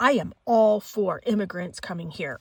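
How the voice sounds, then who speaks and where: This woman has a normal speaking voice. She talks at a fairly slow pace with lively intonation. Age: 50s. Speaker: psychic tarot reader. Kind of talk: casual monologue with commentary.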